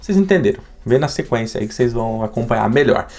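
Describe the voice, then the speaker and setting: Noticeable background noise sits behind a man speaking at a very fast pace. His tone is animated and his intonation lively. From Brazil. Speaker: YouTuber. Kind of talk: vlog.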